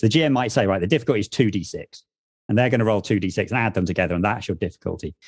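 Speech in an English accent rushes at a very fast pace with ordinary pitch variation. The recording is very clean with a silent background and a dry, close sound with no echo. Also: man, fairly low pitch for a man. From Wales (half Welsh, half English). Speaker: tabletop RPG podcast co-host. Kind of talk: casual chat.

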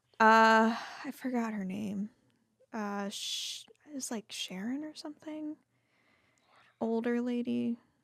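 A woman with an American accent speaks at a very slow pace, her pitch fairly high and its variation ordinary. Long, frequent pauses break up her speech, and the recording is very clean with a silent background. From Texas, Fort Worth and Dallas. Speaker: person in long-term recovery. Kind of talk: interview testimony.

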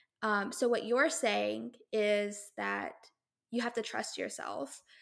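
The tone is bright and sharp, and the recording is very clean with a silent background. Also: woman. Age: 20s. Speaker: podcast host. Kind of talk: podcast interview.

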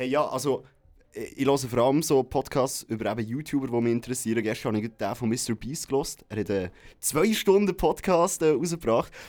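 A man speaks in an unremarkable speaking voice at medium pitch, with lively intonation and a fairly quick pace. The recording is very clean, with a silent background. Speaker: radio morning show presenter. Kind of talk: casual chat.

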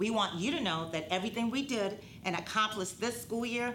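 Fairly quick, lively speech from a woman at a medium pitch, with audible room echo and noticeable background noise. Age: 50s. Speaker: school director of student success, show host. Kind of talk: scripted live-stream presentation. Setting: live stream.

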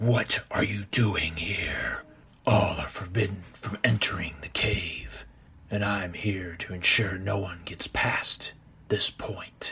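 Raspy and fairly low in pitch, a man puts on a character voice at a fairly slow pace. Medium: read story. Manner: cold, curt, menacing; commanding, formal speech.

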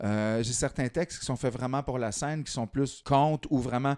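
In a very clean recording with a silent background and a dry, close sound free of echo, a man with an ordinary speaking voice talks at medium pitch and a moderate pace. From rural Quebec. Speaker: slam poet. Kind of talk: casual interview.

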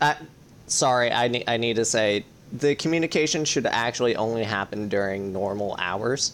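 A man's unremarkable speaking voice at a medium pitch, with ordinary pitch variation. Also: moderate pace. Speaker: podcast host. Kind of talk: casual chat.

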